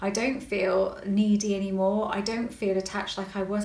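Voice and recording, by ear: Heard with audible room echo, a woman of medium pitch talks at a moderate pace in a West Country accent, her intonation fairly even.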